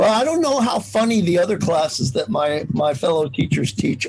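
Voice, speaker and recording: A man talks at a moderate pace while noticeable background noise runs beneath him. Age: 60s. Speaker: college English professor. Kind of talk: casual interview chat. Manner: animated.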